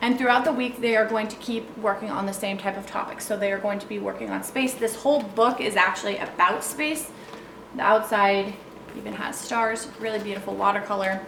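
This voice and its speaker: Speaking at a medium pitch with ordinary variation, a woman goes at a fairly quick pace. Audible room echo and noticeable background noise are present. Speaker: homeschool curriculum creator and parent. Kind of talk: product walkthrough tutorial. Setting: at home, child sleeping nearby. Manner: fast.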